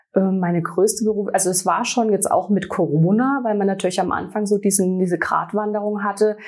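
Speaking at a fairly quick pace with hardly any pauses, a woman with a medium pitch and an ordinary speaking voice keeps a fairly even intonation. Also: very even loudness. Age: 40s. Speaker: sales representative for a hair care brand. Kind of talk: interview.

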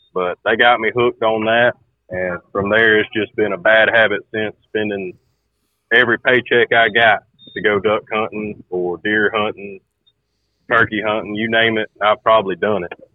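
A man with a Southern US accent, fairly low in pitch, monotone and flat in intonation, at a moderate pace. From Georgia, US. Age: 20s. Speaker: farmer and hunter. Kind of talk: casual chat. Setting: phone call.

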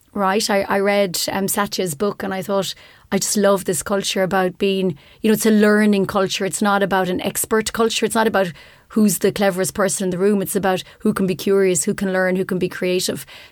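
A woman with an Irish accent speaks fairly quickly at a medium pitch, her intonation monotone and flat. The recording is very clean, with a silent background. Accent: Irish (Clare). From Ireland, Ennis, County Clare. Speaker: technology executive. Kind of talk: interview. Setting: studio.

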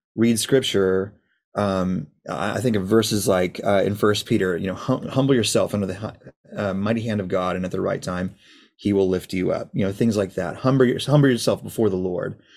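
Here is an unremarkable speaking voice from a man with a fairly low pitch. His pace is moderate and his pitch variation is ordinary. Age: 30s. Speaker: worship leader. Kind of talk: casual chat. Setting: video call.

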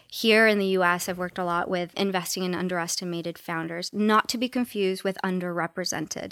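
Speaking very fast with hardly any pauses, a woman with an American accent keeps her intonation fairly even on a very clean recording with a silent background and a dry, close sound with no echo. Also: medium pitch for a woman. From Los Angeles, South Central. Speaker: venture capital investor. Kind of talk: interview. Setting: conference venue.

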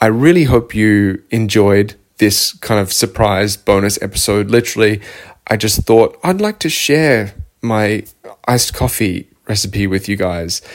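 This man speaks with an Australian accent at a fairly low pitch, with ordinary pitch variation and a fairly slow pace. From Victoria, Australia. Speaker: nutrition coach and podcast host. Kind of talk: casual solo monologue. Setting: home office couch.

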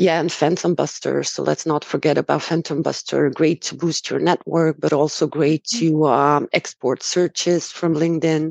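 Speaking at a moderate pace, a woman uses vocal fry and a monotone, flat intonation. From Romania. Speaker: sourcing specialist guest. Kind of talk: casual conversational interview.

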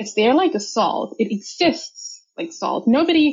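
Her voice somewhat breathy, a woman speaks at a moderate pace with very wide pitch swings. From India. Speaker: data consultant. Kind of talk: interview.

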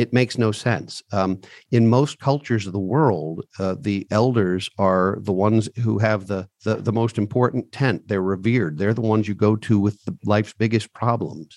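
Recorded with a dry, close sound and no echo, a man speaks at a moderate pace and a medium pitch. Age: 50s. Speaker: financial advisor and CEO. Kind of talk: interview.

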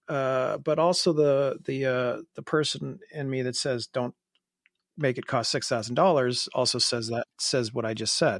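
This is an unremarkable speaking voice, a man talking at a fairly slow pace with ordinary pitch variation, recorded very cleanly with a silent background and a dry, close sound with no echo. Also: medium pitch for a man. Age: 40s. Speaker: watch podcast host. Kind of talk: casual chat.

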